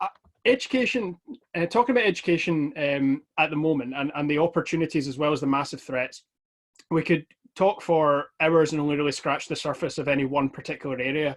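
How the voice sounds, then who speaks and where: With a West of Scotland accent, a man talks at a fairly quick pace and fairly high pitch, with ordinary pitch variation. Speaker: Scottish politician. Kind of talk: online talk. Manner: fast.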